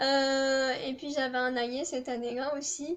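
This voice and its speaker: Very slowly and at a high pitch, a woman speaks with a southern French accent. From southern France. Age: 20s. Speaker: student vlogger. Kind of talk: casual chat. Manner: hesitant, many fillers.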